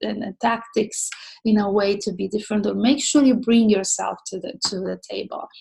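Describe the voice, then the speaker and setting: In a non-native accent, a woman talks with a fairly high pitch, a dark, mellow tone, a somewhat breathy quality and fairly even intonation. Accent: noticeable foreign. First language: not English. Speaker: social media mentor. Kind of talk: online mentoring talk. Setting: online session. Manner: hesitant, many fillers.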